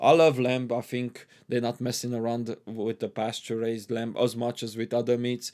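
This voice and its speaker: Hardly pausing, a man with a Hungarian accent speaks at a moderate pace and medium pitch in a dark, mellow tone with monotone, flat intonation. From Transylvania, Romania (ethnic Hungarian). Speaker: immigrant guest. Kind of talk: casual interview. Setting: studio.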